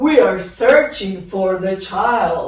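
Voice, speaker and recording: Using a put-on character voice at medium pitch, a woman speaks with a slight echo. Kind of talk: royal voice. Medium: read story.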